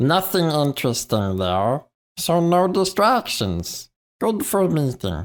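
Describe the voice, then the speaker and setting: This man is doing a put-on character voice. It sits fairly high, and its pitch swings very widely. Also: fairly slow pace, very clean recording, silent background. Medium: actual play. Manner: clipped, broken phrasing.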